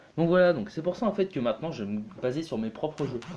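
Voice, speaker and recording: At a fairly quick pace, a man with a dark, mellow tone and a fairly high pitch makes very wide pitch swings. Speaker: gaming youtuber. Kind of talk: let's play commentary. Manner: hesitant, many fillers.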